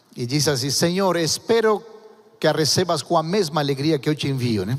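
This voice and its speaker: Lively intonation in a fairly high-pitched male voice. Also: moderate pace. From Argentina. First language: Spanish (speaking Portuguese). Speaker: pastor. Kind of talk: sermon. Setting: church.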